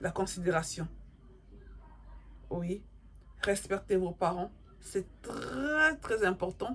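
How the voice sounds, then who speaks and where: Over noticeable background noise, a woman at medium pitch speaks at a very slow pace with lively intonation and long, frequent pauses. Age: 40s. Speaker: YouTuber giving life advice. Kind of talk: moral advice monologue to camera. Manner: repetitive, emphatic.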